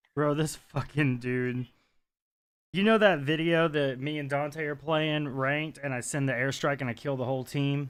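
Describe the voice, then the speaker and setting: This man speaks at a moderate pace with a fairly high pitch and fairly even intonation. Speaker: gaming streamer. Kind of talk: casual chat. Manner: cackling laugh; casual, swears a lot.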